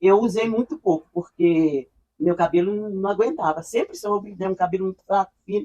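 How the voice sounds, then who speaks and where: A woman speaks at a medium pitch with a dark, mellow tone and lively intonation. The sound is dry and close, with no echo. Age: 70s. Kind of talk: interview answer.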